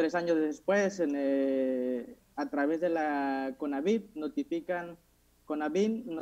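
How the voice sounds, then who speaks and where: Against a quiet background, a man speaks at a very slow pace. His tone is dark and mellow, with ordinary pitch variation. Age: 20s. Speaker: youth parliament candidate; candidate. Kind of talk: formal speech; formal speech presentation. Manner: halting, with self-corrections. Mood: earnest, slightly nervous. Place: home room. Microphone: earbuds.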